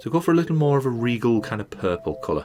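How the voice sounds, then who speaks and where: A man speaks with music playing in the background. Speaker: game designer and pixel artist. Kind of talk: casual voiceover commentary on a speedpaint. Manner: casual, rambling.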